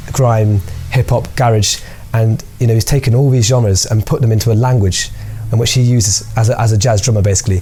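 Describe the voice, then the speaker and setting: At a fairly quick pace, a man talks in a medium pitch with very even loudness and fairly even intonation over noticeable background noise. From Birmingham, England (Handsworth). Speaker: percussionist. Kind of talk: interview; casual chat.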